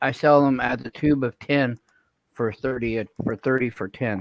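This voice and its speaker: In an American accent, a man speaks at a fairly slow pace with fairly even intonation. The sound is dry and close, with no echo. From Oklahoma. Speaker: coin dealer. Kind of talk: live-stream casual chat, selling coins.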